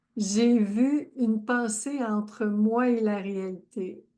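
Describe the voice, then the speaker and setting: In a Quebec accent, a woman speaks at a fairly high pitch with fairly even intonation against a quiet background. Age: 70s. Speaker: life coach. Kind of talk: live stream chat. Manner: warm, effusive.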